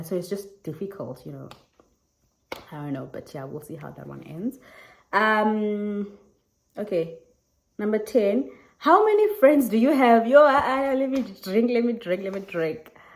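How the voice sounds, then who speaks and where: Speaking at a moderate pace with a South African accent, the voice has lively intonation, big swings in loudness, and long, frequent pauses. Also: woman. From South Africa, Eastern Cape. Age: 20s. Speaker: YouTuber. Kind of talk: casual Q&A vlog. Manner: animated.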